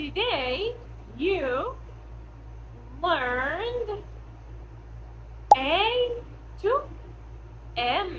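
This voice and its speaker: Speaking very slowly with long, frequent pauses, a woman uses an extremely high voice with very wide pitch swings, over noticeable background noise and audible room echo. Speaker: English teacher. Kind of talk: language lesson. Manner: clear.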